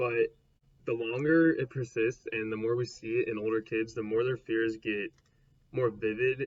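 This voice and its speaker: Somewhat breathy, a man's voice sits at medium pitch with fairly even intonation. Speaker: psychology video creator. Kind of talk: educational explainer. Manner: fast.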